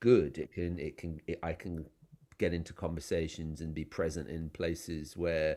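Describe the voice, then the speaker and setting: A man with an English accent speaks at a fairly slow pace in a very deep, low voice with vocal fry. His tone is dark and mellow, and the recording is very clean with a silent background. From England. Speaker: novelist. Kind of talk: interview. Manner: halting, many fillers and restarts.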